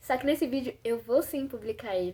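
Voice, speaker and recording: A woman's high voice at a fairly quick pace. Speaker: vlogger. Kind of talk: personal reflection vlog. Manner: halting.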